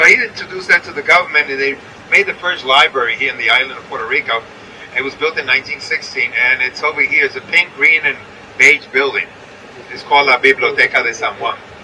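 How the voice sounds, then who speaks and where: Someone with an American accent talks at a very fast pace over noticeable background noise. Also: man. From New York. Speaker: tour guide. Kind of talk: guided tour commentary.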